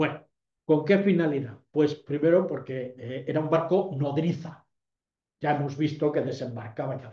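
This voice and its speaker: A man with a fairly high pitch speaks at a moderate pace, somewhat breathy and dark, mellow in tone, with ordinary pitch variation and big swings in loudness. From Ceuta, Spain. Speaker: retired army general, lecturer. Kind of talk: lecture. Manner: hesitant, many fillers.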